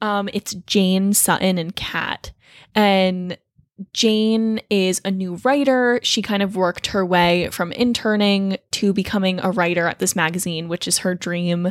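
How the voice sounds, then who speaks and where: A woman talks at a fairly slow pace in an ordinary speaking voice, medium in pitch with fairly even intonation. The recording is very clean with a silent background and a dry, close sound with no echo. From New Jersey, Toms River. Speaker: college student, co-host. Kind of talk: casual chat.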